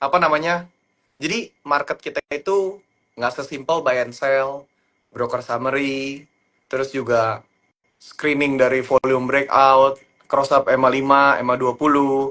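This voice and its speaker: Speaking at a fairly slow pace, a man with a fairly high pitch keeps his intonation fairly even. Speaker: stock trader. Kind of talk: live stream stock chat. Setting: live stream.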